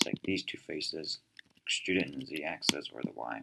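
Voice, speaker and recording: This man has a very deep, low pitch and a bright, sharp tone, with vocal fry in his voice. He speaks at a fairly quick pace. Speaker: tutorial creator. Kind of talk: tutorial. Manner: hesitant, many fillers.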